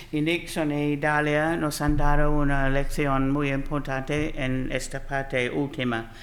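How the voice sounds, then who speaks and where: A woman with an Australian accent speaks at a very deep, low pitch in a monotone, flat intonation. Her pace is very slow with hardly any pauses, and audible room echo surrounds her. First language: English (speaking Spanish). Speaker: panel speaker. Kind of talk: panel talk.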